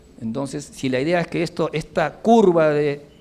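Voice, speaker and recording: A man's voice with a fairly high pitch. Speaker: civil engineer, former minister giving a lecture. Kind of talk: lecture.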